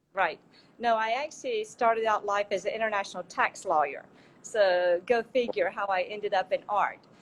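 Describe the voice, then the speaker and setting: Speaking in a strong Southern US accent, a woman keeps a medium pitch with ordinary variation. Her pace is moderate. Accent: strong Southern American. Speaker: art dealer and gallery founder. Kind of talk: interview. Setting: Instagram Live.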